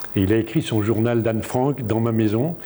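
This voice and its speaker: A man speaks at a moderate pace with medium pitch and ordinary pitch variation, with audible room echo and noticeable background noise. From France, Charente (near Cognac). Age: 70s. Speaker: coach and trainer of coaches. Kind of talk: public lecture. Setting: conference hall with audience. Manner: hesitant, many filler sounds.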